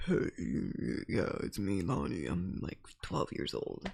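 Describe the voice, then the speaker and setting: In a put-on character voice, a man talks fairly slowly at a very deep, low pitch over clear background noise. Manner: mumbling, hard to understand.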